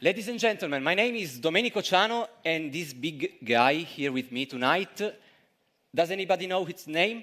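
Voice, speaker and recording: A man with an Italian accent speaks in a high, bright, sharp voice. His intonation is lively and his pace moderate. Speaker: street musician / performer. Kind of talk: stage introduction to audience. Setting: stage with audience. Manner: halting.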